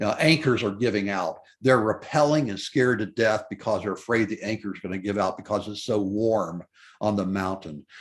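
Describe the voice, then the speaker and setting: With an American accent and a plain, everyday voice, a man speaks fairly quickly at a fairly low pitch with ordinary pitch variation against a quiet background. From US South, Memphis, Tennessee. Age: 60s. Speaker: mountaineer. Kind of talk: interview.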